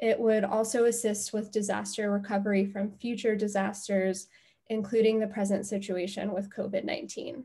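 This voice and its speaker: Against a quiet background, a woman talks at a fairly slow pace with a dark, mellow, somewhat breathy tone and monotone, flat intonation. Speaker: presenter. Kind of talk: presentation. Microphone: video call.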